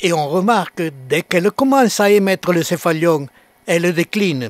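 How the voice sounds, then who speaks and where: A man with a high pitch and a dry, close sound with no echo. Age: 80s+. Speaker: cactus grower. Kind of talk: scripted narration.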